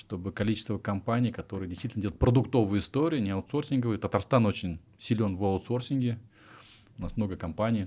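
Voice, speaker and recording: Speaking very fast, a man uses a dark, mellow tone with ordinary pitch variation. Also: fairly low pitch for a man. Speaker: interviewer, podcast host. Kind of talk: casual interview. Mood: friendly, upbeat. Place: studio. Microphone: studio mic.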